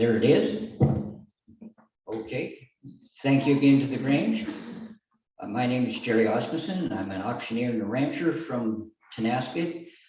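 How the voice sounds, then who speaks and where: Audible room echo surrounds a man speaking at a moderate pace with long, frequent pauses. His medium pitch shows ordinary variation. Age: 60s. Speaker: political candidate. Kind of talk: campaign speech.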